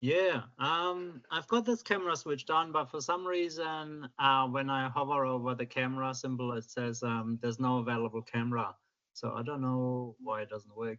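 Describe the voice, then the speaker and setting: This man speaks with a German accent at a medium pitch and a moderate pace. His pitch varies in an ordinary way, and he hardly pauses. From Germany. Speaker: submitter at public hearing. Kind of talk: public submission. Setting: video call from home.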